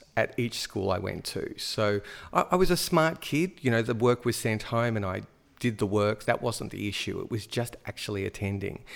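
With an Australian accent, a man speaks at medium pitch with lively intonation on a very clean recording with a silent background. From Australia, Melbourne. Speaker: high school drama teacher. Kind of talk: casual chat.

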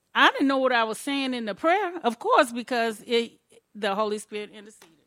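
A woman speaks in a high-pitched voice with a bright, sharp tone. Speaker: congregation member. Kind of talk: testimony.

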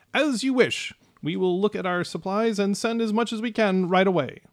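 The speaker is a man using a put-on character voice. His pitch is high. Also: moderate pace. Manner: deferential, bowing, perplexed.

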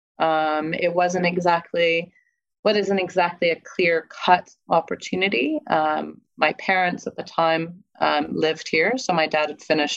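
A woman speaks at a moderate pace with an American accent. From California, US. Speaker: life coach and former project manager. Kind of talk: casual interview, storytelling. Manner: informal, hesitant with fillers.

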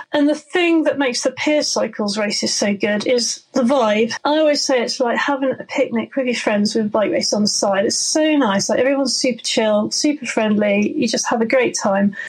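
With a southwest English accent, a woman speaks at a high pitch and moderate pace with ordinary pitch variation, very even loudness, and hardly any pauses, over noticeable background noise. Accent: south-west English. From Somerset, south-west England. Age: 40s. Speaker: mountain bike guide and downhill racer. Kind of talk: casual interview.

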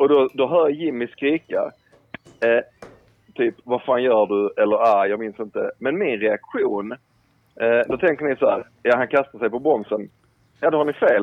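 A man at a moderate pace, with long, frequent pauses and ordinary pitch variation. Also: medium pitch for a man. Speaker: caller. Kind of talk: casual chat. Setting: phone call.

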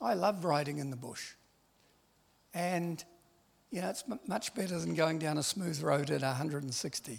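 Fairly high-pitched and somewhat breathy, a man speaks at a fairly slow pace with lively intonation and long, frequent pauses. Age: 70s. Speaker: missionary. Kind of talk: sermon.

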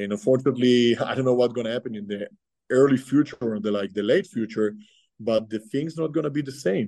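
This man's voice is dark and mellow. He talks very fast. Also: medium pitch for a man, ordinary pitch variation. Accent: Israeli. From Israel. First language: Hebrew. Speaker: army reservist and nurse. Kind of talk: interview.

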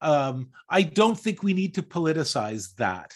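With a Canadian accent and lively intonation, the speaker talks at a very slow pace. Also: man. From Canada, Toronto area. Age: 60s. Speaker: podcast co-host. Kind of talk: casual chat.

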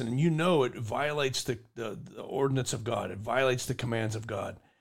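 Here is a normal speaking voice with ordinary pitch variation. It moves along at a moderate pace. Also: man. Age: 50s. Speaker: podcast host, army veteran. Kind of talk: casual chat.

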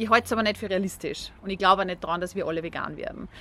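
This woman's voice has ordinary pitch variation. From Austria. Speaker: vegan food entrepreneur. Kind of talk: interview.

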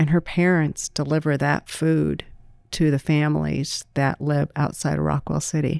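A woman with an American accent in a very clean recording, silent background, and a dry, close sound with no echo. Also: moderate pace. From US Midwest, small-town Iowa (Greene County). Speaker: food bank executive. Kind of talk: podcast interview.

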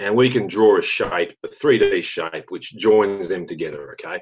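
Over a quiet background, a man with an Australian accent talks at a moderate pace. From Western Australia. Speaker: mining company director and geologist. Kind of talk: interview.

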